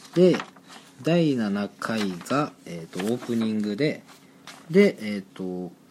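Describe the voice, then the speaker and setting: Over noticeable background noise, a man talks very slowly in a fairly low voice with lively intonation. His loudness swings widely. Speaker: student podcast co-host. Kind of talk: casual chat.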